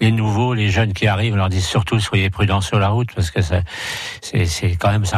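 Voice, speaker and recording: Music plays in the background as a man speaks. His fairly low voice keeps fairly even intonation at a moderate pace. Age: 60s. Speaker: motorcycle club president. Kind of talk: radio interview. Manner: halting.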